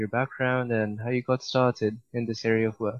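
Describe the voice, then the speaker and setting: At a moderate speed, someone speaks in a flat, monotone way. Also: man. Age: young. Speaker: podcast host and student. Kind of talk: interview.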